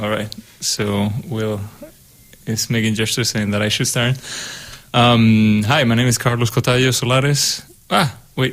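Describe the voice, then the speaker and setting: A man with a Spanish accent speaks at a medium pitch, leaving long, frequent pauses. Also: fairly even intonation, moderate pace. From Spain. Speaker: composer, doctoral student. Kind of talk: casual chat. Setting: radio studio.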